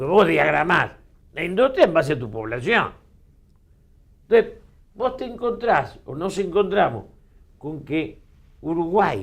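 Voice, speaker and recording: A man with a high pitch speaks at a fairly slow pace, with long, frequent pauses. His loudness shifts a lot, and his pitch swings very widely. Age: 70s. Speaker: politician and political commentator. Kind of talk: interview.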